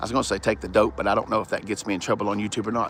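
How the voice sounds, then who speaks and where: A man speaks in an animated tone with a Southern US accent. His voice has vocal fry. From US South. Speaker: car reviewer. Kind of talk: live stream car walkaround. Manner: casual, animated.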